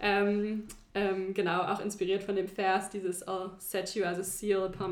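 A woman's medium-pitched voice, fairly slow and monotone with flat intonation, set in audible room echo. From China (German-American family). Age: 20s. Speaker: teacher. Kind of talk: casual interview.

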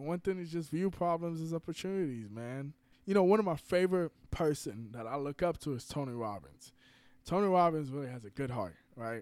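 With a normal speaking voice, a man talks at a fairly quick pace in a fairly high pitch with lively intonation, on a very clean recording with a silent background. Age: 20s. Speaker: startup founder. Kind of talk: casual chat.

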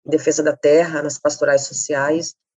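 The woman's pitch is very deep and low. She talks at a moderate pace. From Campo Grande, Mato Grosso do Sul, Brazil. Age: 30s. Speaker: feminist activist and social researcher. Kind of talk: interview conversation.

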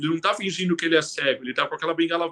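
Very fast and high-pitched, a man talks in a bright, sharp tone, the sound dry and close with no echo. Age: 40s. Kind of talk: interview. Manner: halting.

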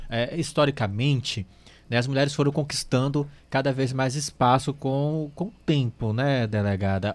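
Here a man has a normal speaking voice at a medium pitch. He moves at a moderate pace with ordinary pitch variation. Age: 30s. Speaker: radio host. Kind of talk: live radio talk show.

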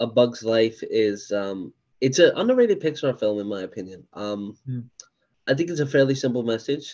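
This is a normal speaking voice from a man at a medium pitch with ordinary pitch variation. He keeps a moderate pace against a quiet background. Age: 20s. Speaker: podcast host. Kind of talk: casual chat.

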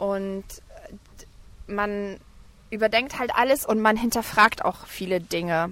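At a very slow pace with long, frequent pauses, a woman speaks at a medium pitch in a bright, sharp tone. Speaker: travelling mother and blogger. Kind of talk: casual interview. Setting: outdoors on a park bench at a playground.

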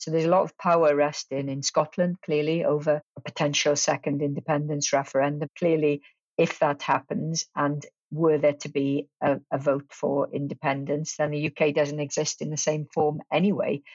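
This woman speaks with a Welsh accent in a very deep, low voice. Her pace is moderate and her intonation stays flat and monotone. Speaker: politics professor. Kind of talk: interview.

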